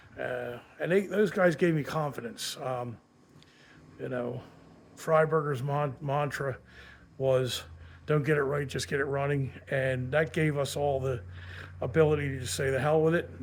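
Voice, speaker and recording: With long, frequent pauses, a man talks at a moderate pace in a fairly high, somewhat breathy voice with ordinary pitch variation. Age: 60s. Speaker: car hobbyist YouTuber. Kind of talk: casual monologue. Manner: halting, many fillers.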